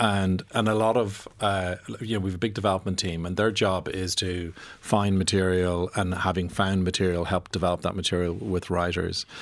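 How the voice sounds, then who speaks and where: A man with an Irish accent, a very deep, low pitch and monotone, flat intonation, at a moderate pace. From Ireland. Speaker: film producer. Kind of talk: radio interview. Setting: radio studio.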